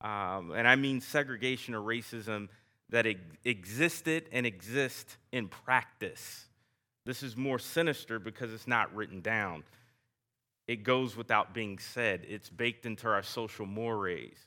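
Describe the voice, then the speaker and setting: In a Southern US accent, a man speaks at a medium pitch with a bright, sharp tone. His pace is fairly slow, with ordinary pitch variation. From US South. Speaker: guest preacher. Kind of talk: sermon. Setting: church. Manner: informal, self-deprecating.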